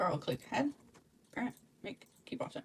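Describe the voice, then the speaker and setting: A woman speaks in a somewhat breathy voice. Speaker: 3D avatar creator. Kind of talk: software tutorial narration. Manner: hesitant, many filler words.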